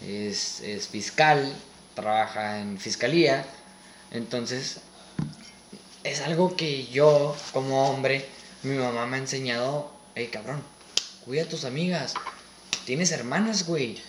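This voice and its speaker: With a Mexican accent, a man at medium pitch speaks at a very slow pace with long, frequent pauses and ordinary pitch variation, amid audible room echo and noticeable background noise. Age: 20s. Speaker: medical student. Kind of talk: casual chat.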